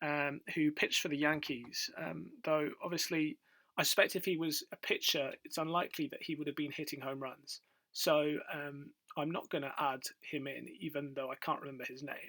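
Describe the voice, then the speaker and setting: A man reads at a moderate pace in a British accent. His fairly high voice has a bright, sharp tone and monotone, flat intonation. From UK. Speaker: quiz video creator. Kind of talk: casual quiz commentary. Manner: hesitant, many fillers.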